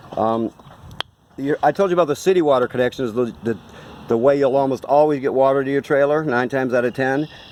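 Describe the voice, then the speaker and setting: A man talks at a very fast pace with ordinary pitch variation. Background noise is noticeable. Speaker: RV dealership salesperson. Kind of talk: product walkthrough tutorial. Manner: casual, halting with fillers.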